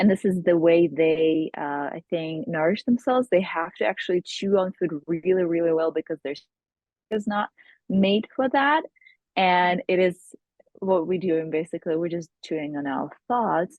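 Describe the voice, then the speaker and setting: Here a woman speaks at a moderate pace, with a fairly low pitch and ordinary pitch variation. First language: not English. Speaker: hypnotherapist. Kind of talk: interview.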